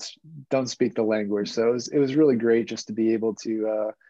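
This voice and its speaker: This man has a normal speaking voice of medium pitch with an American accent. His intonation stays fairly even. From United States. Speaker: guest, swimmer and traveler. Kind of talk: casual chat.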